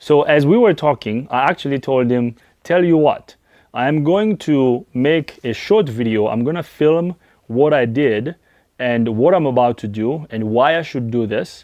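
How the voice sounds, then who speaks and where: A man with a French accent speaks at a moderate pace with lively intonation and a medium pitch. His tone is dark and mellow, and the background is quiet. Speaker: auto mechanic. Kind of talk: personal vlog talk to camera.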